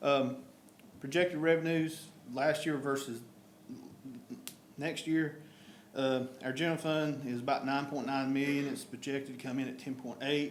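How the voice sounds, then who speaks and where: Long, frequent pauses break up a man's monotone, flat delivery in a North Carolina accent, his pitch fairly high and room echo audible. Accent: Southern US (North Carolina). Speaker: town official presenting budget. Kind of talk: budget presentation at council meeting. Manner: fast.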